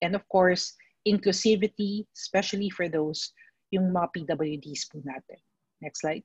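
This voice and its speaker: Somewhat breathy and fairly slow, a woman speaks with fairly even intonation and long, frequent pauses in a dry sound with no echo over a quiet background. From Philippines. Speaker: mental health speaker; speaker. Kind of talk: presentation. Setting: video call webinar. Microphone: video call.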